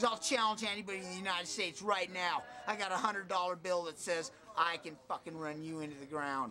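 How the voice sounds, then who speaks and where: With music in the background, a man speaks very fast with an American accent, his high voice showing ordinary pitch variation. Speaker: skateboarder. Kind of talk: casual interview. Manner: animated.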